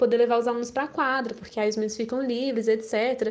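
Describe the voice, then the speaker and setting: A woman with an unremarkable speaking voice talks at a fairly high pitch with fairly even intonation against a quiet background. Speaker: undergraduate language student. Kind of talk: academic interview.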